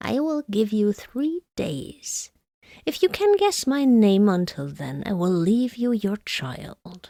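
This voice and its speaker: A female-sounding put-on character voice of medium pitch cackles at a fairly slow pace on a very clean recording with a silent background. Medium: read story. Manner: cackling, jeering.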